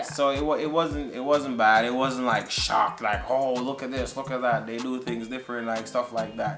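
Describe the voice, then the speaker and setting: With music playing behind him, a man speaks in a Jamaican accent at medium pitch, his intonation fairly even and his moderate pace broken by hardly any pauses. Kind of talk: casual talk to camera.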